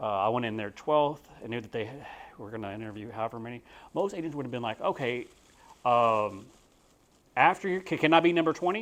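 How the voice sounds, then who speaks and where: A man with a Texan accent, lively intonation and big swings in loudness at a fairly quick pace, long, frequent pauses throughout, on a very clean recording with a silent background. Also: medium pitch for a man. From Texas. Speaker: real estate agent. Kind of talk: talk to a group. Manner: casual, with many fillers.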